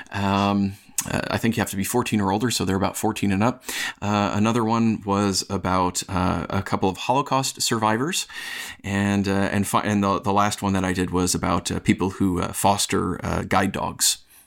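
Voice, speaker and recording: A man with a normal speaking voice, fairly low in pitch, at a moderate pace, with very even loudness and fairly even intonation. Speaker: screenwriter and minister. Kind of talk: podcast discussion.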